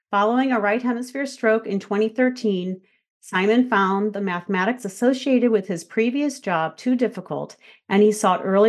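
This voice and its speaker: Over a quiet background, a woman with a plain, everyday voice speaks at a moderate pace and medium pitch, with ordinary pitch variation. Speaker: podcast host and speech pathologist. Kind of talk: interview conversation.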